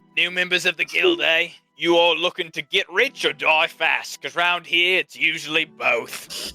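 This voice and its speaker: A man puts on a gruff, gravelly character voice pitched high, speaking at a moderate pace in a dry, close recording with no echo and faint music in the background. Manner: sardonic.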